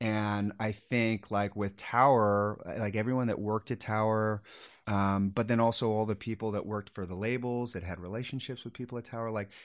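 A man with an American accent speaks at a moderate pace in a fairly low voice, with fairly even intonation. The recording is very clean, with a silent background. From Sacramento, California. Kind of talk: casual interview chat.

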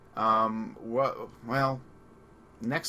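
Here is a man with a Long Island accent. His medium-pitched voice has a bright, sharp tone. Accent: Long Island New York. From Long Island, New York. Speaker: radio host. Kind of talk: casual chat, movie discussion.

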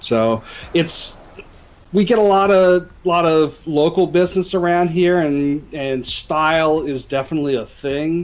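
A man's plain, everyday voice, fairly high in pitch, with ordinary pitch variation and a fairly slow pace. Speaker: tabletop game player. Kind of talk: tabletop roleplaying game session.

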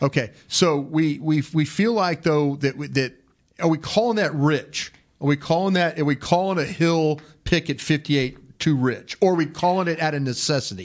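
A man's plain, everyday voice, fairly high in pitch with ordinary pitch variation, at a moderate pace on a very clean recording with a silent background. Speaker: football draft analyst host. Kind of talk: sports podcast discussion. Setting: studio.

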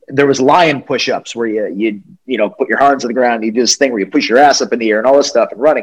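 An unremarkable speaking voice from a man with an American accent, medium pitch and a fairly quick pace. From US Northeast (New England). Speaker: wrestling interviewer. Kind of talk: casual interview chat.

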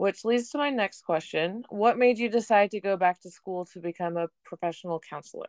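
In a dry, close recording with no echo, a woman with a plain, everyday voice speaks at medium pitch and a moderate pace, with ordinary pitch variation and hardly any pauses. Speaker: podcast host, former softball player. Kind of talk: interview.

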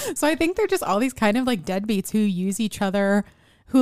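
The recording is very clean with a silent background, and a woman's voice sounds dry and close, without any echo. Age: 20s. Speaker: podcast co-host. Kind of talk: casual chat about films; reading film summaries.

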